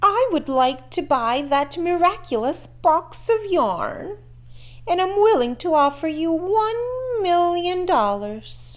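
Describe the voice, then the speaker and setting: A woman uses a put-on character voice, pitched extremely high with very wide swings. She speaks at a fairly slow pace. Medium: read story. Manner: pompous, demanding.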